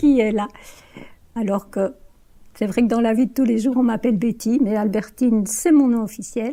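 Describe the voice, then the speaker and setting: A woman's fairly high-pitched, somewhat breathy voice with a dark, mellow tone, fairly even intonation, big swings in loudness and a fairly slow pace. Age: 70s. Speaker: retiree interviewed for a student film. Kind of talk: personal testimony interview.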